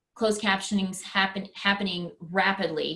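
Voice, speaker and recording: A woman with a West Texas accent talks at a fairly slow pace. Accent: West Texas twang. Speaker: presenter for teachers. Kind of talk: webinar presentation. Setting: online webinar.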